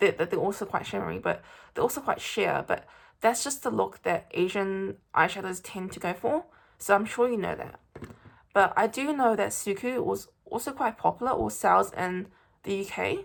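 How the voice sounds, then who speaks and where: A woman speaks with a New Zealand accent. Her pace is moderate. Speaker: beauty vlogger. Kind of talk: product review and makeup tutorial. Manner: hesitant, many fillers.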